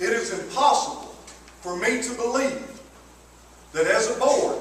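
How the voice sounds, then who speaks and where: Extremely high in pitch, a man talks with a Southern US accent and lively intonation. Audible room echo and noticeable background noise are present. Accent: Southern US (Georgia). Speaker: taxpayer speaking at public hearing. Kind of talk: public comment at a hearing. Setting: courthouse public hearing. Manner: loud. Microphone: no microphone.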